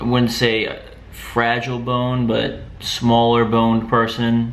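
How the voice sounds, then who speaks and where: A man speaks at medium pitch. Noticeable background noise runs under his voice. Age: 20s. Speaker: fitness vlogger. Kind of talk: casual talk to camera.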